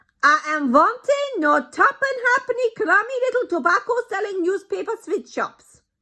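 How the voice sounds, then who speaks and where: A woman uses a put-on character voice, shrill and extremely high, raised and projected, with very wide pitch swings. She speaks at a moderate pace with hardly any pauses. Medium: read story. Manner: commanding, domineering.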